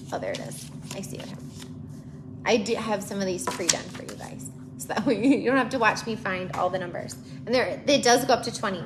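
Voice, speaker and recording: Amid noticeable background noise and audible room echo, a woman at a medium pitch speaks very fast with very wide pitch swings. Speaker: preschool teacher and educational content creator. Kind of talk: tutorial. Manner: casual and chatty, with fillers; briefly quiet, near whisper.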